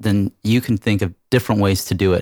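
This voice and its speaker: Recorded dry and close with no echo against a silent background, a man with an American accent uses a plain, everyday voice, fairly low in pitch, at a moderate pace with fairly even intonation. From California. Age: 40s. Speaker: real estate team leader. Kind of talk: interview on a business podcast.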